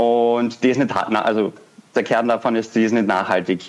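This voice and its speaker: A man speaks in a plain, everyday voice at medium pitch and a moderate pace. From Austria, Vienna. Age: 20s. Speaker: founder of a fashion startup. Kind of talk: interview.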